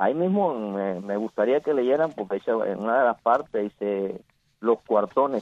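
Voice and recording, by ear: A man's fairly low voice with lively intonation, at a fairly slow pace, in a dry, close sound with no echo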